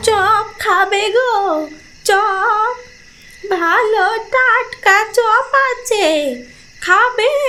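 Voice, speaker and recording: A cartoonish character voice sounds female, pitched extremely high. It moves at a very slow pace. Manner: coaxing, sly.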